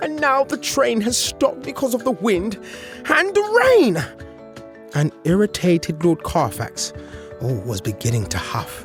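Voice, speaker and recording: Fairly slow speech with music in the background. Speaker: storyteller. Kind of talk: children's story read-aloud.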